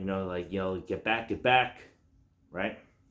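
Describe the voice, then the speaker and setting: A man is speaking. His voice is quiet. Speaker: self-defense and tactics YouTuber. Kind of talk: casual tutorial to camera. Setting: at home at night. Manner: loose with many fillers.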